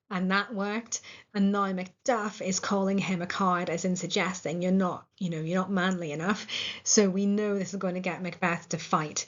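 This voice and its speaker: A woman with a Northern Irish accent, medium-pitched, monotone and flat, at a moderate pace. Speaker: English literature teacher. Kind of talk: lecture. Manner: casual with filler words.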